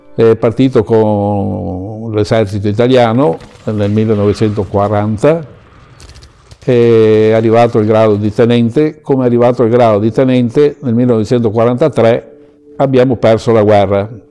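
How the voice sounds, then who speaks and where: At a moderate pace, a man speaks with a medium pitch, fairly even intonation and very even loudness over noticeable background noise. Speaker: elderly witness recounting family war history. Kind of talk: testimony. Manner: halting.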